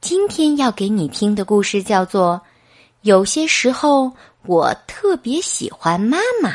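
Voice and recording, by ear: A natural voice reading aloud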